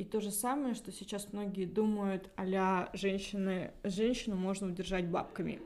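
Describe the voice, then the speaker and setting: A woman speaks at a fairly slow pace in a dark, mellow tone. Her intonation stays fairly even. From Russia. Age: 30s. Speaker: podcast host. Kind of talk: casual chat.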